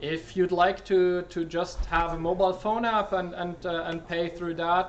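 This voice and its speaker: A man's high-pitched voice at a moderate pace. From Switzerland. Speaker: software developer. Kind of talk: talk Q&A. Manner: halting with many fillers.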